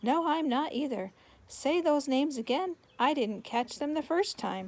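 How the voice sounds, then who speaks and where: A woman puts on a character voice, pitched high, in a very clean recording with a silent background. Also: moderate pace. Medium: read story.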